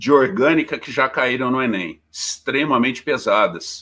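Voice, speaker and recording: A man with a medium pitch and a bright, sharp tone is heard in a very clean recording with a silent background. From Minas Gerais, Poços de Caldas. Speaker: teacher. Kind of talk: casual interview; lecture.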